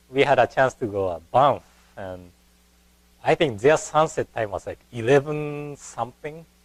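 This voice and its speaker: A man with a Japanese accent speaks in a fairly high voice with lively intonation. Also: moderate pace, big swings in loudness. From Japan (Kanazawa, Ishikawa). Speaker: Buddhist minister. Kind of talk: lecture. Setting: temple lecture hall. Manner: hesitant, with fillers.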